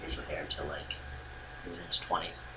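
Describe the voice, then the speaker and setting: A man is speaking with audible room echo. Noticeable background noise sits behind him. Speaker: vlogger. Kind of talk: casual vlog. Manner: halting, many fillers.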